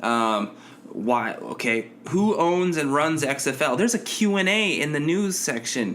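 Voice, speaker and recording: A man with lively intonation talks at a fairly slow pace amid noticeable background noise. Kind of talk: sarcastic podcast rant, promo-style callout addressed to a named person.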